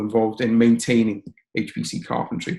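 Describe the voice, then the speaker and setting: A man with a Liverpool accent speaks at a fairly quick pace and a medium pitch. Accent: Liverpool (Scouse) English. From northern England, Liverpool. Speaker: software training lesson developer, HPC researcher. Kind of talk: webinar presentation. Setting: online webinar. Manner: fast.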